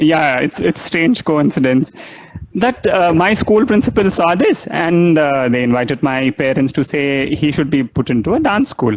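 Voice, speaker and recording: With noticeable background noise behind him, a man talks at a moderate pace in a fairly high pitch, his intonation lively and his loudness very even. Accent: Telugu. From South India, Chennai (Madras). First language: Telugu. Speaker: dancer and dance scholar. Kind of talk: interview conversation. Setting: Instagram live video call. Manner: halting, many fillers.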